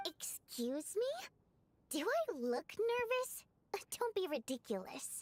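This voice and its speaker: A woman speaks in a put-on character voice at an extremely high pitch, with very wide pitch swings. Her pace is fairly slow, broken by long, frequent pauses. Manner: nervous, defensive, flustered.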